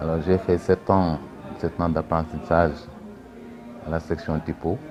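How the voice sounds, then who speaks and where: With music playing in the background, a man speaks at a fairly slow pace in a very deep, low voice with fairly even intonation. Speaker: former typesetter. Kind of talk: testimony.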